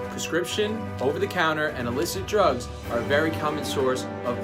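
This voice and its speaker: Over music in the background, a man talks fairly quickly at a medium pitch, his pitch swinging very widely. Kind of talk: informational infomercial presentation. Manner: casual, explanatory.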